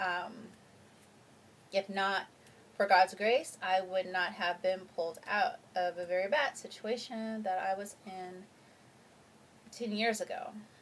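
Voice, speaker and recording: This soft-spoken voice moves at a fairly slow pace with fairly even intonation. Long, frequent pauses break up the speech. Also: woman, medium pitch for a woman. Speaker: vlogger. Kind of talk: personal vlog testimony. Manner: halting.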